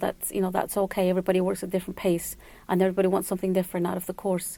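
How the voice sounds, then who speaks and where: A woman with a Spanish accent speaks at a medium pitch in a dark, mellow tone, captured in a very clean recording with a silent background. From El Salvador, moved to New York at 11. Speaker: Spanish tutor. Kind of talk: radio interview.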